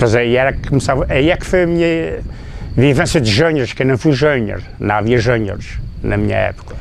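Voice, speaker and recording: A man at a fairly quick pace with lively intonation, amid noticeable background noise and audible room echo. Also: medium pitch for a man. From Azores, São Miguel (Povoação). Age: 60s. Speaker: former football player. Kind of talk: interview. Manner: halting.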